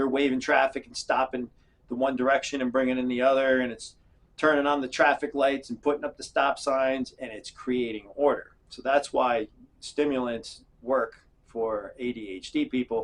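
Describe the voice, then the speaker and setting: His medium-pitched voice stays monotone and flat while the loudness swings widely, this man's delivery rising and falling in volume. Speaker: self-help video creator. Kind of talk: casual explainer monologue. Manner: fast; halting, many fillers.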